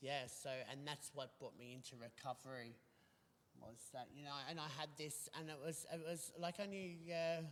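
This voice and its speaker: With an Australian accent, a man speaks at a moderate pace in a fairly high voice with fairly even intonation. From Australia, New South Wales (Bathurst). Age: 40s. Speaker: recovering addict sharing lived experience. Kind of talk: interview testimony. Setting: online video show. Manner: halting, many fillers and restarts.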